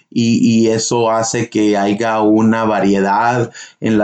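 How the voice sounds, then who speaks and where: Pitched in the medium range, a man's delivery stays monotone and flat. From northern Mexico (Durango, Chihuahua), then US. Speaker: podcast host. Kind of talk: casual chat.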